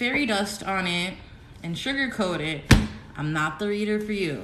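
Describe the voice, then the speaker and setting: In a room with audible echo, a woman speaks fairly slowly at a medium pitch with ordinary pitch variation. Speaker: tarot reader. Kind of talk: live-stream tarot reading. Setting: social media live stream. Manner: slow, deliberate at times; dramatic, animated.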